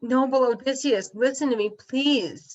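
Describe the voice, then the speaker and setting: A woman's put-on character voice, high in pitch. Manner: pleading.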